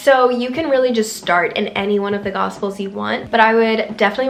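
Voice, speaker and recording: Over noticeable background noise, a woman at medium pitch speaks at a fairly quick pace with fairly even intonation. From Ethiopia. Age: 20s. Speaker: lifestyle YouTuber. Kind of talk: casual talk to camera.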